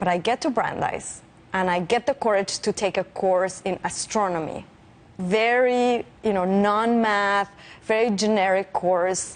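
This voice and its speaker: With a Spanish accent, a woman at a medium pitch speaks at a fairly slow pace, with ordinary pitch variation and very even loudness over a quiet background. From Mexico City. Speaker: physicist. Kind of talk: interview.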